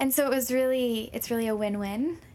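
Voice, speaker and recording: This woman has an unremarkable speaking voice with an American accent. Her pitch is fairly high and her intonation fairly even. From Minnesota. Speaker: health and wellness program lead. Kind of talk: radio interview.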